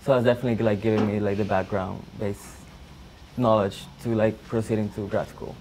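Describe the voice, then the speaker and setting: Speaking with a Spanish accent, a man talks at a fairly quick pace in a fairly low pitch, his intonation monotone and flat, with noticeable background noise. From El Salvador. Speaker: college student; guest. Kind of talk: personal testimony. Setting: classroom with audience. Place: classroom.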